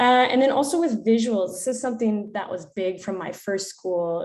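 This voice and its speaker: At a moderate pace, a woman with an American accent speaks with ordinary pitch variation in an unremarkable speaking voice. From United States. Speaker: PE teacher. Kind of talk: conference presentation.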